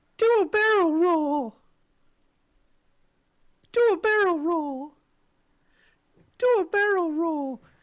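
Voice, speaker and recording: In a put-on character voice of extremely high pitch, the words come at a very slow pace with long, frequent pauses. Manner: imitating iconic game line.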